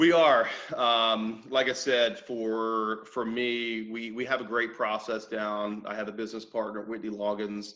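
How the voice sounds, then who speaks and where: The man's voice is loud, medium in pitch, with a bright, sharp tone and fairly even intonation. He talks at a fairly slow pace with hardly any pauses. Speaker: mortgage company owner. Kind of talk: interview.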